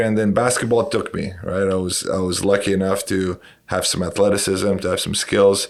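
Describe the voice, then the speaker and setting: A man with a Romanian accent, fairly low pitch and a fairly quick pace. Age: 40s. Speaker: basketball coach and educator. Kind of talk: podcast interview.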